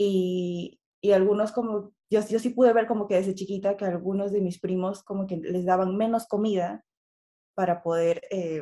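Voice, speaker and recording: A woman's dark, mellow, monotone voice with flat intonation at a moderate pace. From Peru. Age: 20s. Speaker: eating disorder recovery advocate. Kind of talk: interview.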